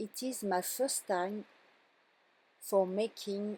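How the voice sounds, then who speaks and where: A woman's very slow, medium-pitched voice with a dark, mellow tone, in a French accent. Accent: French accent, non-fluent English. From France. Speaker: card-making crafter. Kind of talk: craft tutorial voiceover. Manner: halting.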